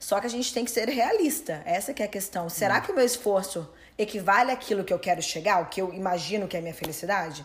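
A woman talks at a very fast pace with hardly any pauses. Her medium-pitched, somewhat breathy voice has lively intonation. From Brazil. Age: 30s. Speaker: personal trainer and coach. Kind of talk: interview.

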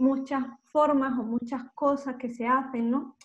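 A woman with an Andalusian accent talks at a very slow pace in a high voice. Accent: southern Spanish (Andalusian). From Andalusia, Málaga. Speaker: fashion photographer. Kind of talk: interview.

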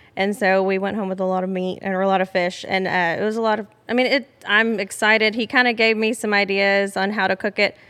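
A woman in a Texan accent, medium in pitch, monotone and flat, at a fairly quick pace with hardly any pauses. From Southeast Texas, Beaumont. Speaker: hunter and angler, outdoors advocate. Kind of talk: casual chat. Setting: lodge.

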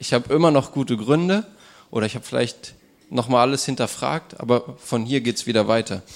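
A man with an unremarkable speaking voice talks at a fairly quick pace in a medium pitch with ordinary pitch variation. The recording is very clean, with a silent background. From northern Germany, Wolfsburg. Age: 20s. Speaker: student telling his life story. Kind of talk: personal testimony; audience Q&A.

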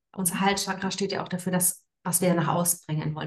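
A woman speaks at a fairly low pitch in a monotone, flat way. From Frankfurt am Main, Germany. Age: 30s. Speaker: women's coach. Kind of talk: interview. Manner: hesitant, many fillers.

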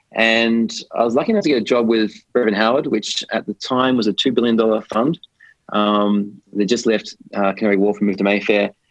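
Fairly quick speech with fairly even intonation and very even loudness. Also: man, medium pitch for a man. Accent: Australian. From Australia. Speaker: biotech investment executive. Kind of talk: interview.

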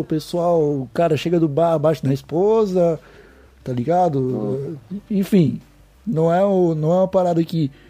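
The man talks at a fairly slow pace. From Santa Catarina, Brazil (Palhoça). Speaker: cannabis podcast host. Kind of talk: casual chat.

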